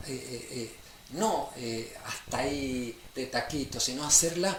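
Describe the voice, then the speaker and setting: Noticeable background noise and audible room echo around a man's fairly slow delivery. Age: 70s. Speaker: guest speaker. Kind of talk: casual chat. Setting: radio studio. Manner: halting, many fillers.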